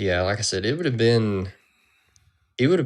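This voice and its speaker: Mumbling in a Southern US accent, a man talks with ordinary pitch variation. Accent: Southern drawl. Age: 30s. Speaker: competitive pistol shooter. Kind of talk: interview.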